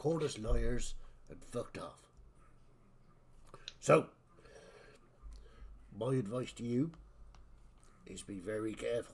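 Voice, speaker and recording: Putting on a raspy, strained character voice, a man with a medium pitch speaks at a fairly slow pace with long, frequent pauses and big swings in loudness. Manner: warning, cautionary.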